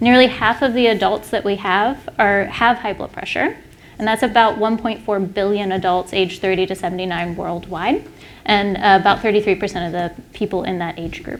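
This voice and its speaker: Medium pitch and ordinary pitch variation from a female speaker. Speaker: primary care physician giving a lecture. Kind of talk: medical lecture to clinicians. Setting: symposium stage with audience. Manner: fast.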